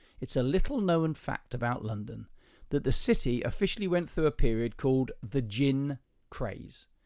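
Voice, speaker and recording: A man with a southern English accent in a very clean recording with a silent background. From southern England. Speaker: podcast host. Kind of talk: casual chat, podcast between spouses. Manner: teasing, joking.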